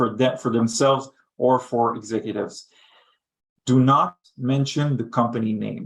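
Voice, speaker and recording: With a non-native accent, a man speaks at a moderate pace, using ordinary pitch variation and long, frequent pauses. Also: medium pitch for a man. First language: not English. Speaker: head of thought leadership. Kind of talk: webinar panel discussion.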